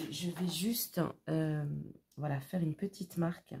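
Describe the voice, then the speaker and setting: A woman's very deep, low voice, dark and mellow in tone, somewhat breathy, with fairly even intonation. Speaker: craft tutorial youtuber. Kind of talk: tutorial. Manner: casual, chatty with fillers.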